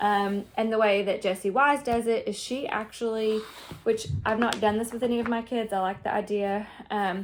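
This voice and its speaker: A woman speaks with a Southern US accent at a moderate pace. Her pitch is fairly high and her intonation fairly even. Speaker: homeschooling mother. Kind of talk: casual talk to camera. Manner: informal, many fillers.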